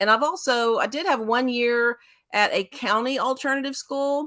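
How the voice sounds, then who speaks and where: A woman speaks with a Texas accent on a very clean recording with a silent background. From Central Texas, Waco. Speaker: school special education director. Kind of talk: interview talk.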